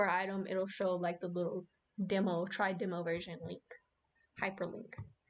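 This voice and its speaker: Monotone, flat intonation at a moderate pace. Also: woman. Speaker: streamer teaching a class. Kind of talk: livestream tutorial. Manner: casual, filler-heavy.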